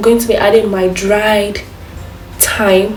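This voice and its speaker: A woman's medium pitch with audible room echo and noticeable background noise. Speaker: cooking youtuber. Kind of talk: cooking tutorial. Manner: fast; casual.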